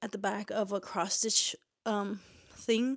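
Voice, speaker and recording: A woman's normal speaking voice, fairly high in pitch and at a moderate pace, in a very clean recording with a silent background and a dry, close sound with no echo. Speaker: booktuber and indie author. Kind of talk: casual book review vlog. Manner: casual with fillers.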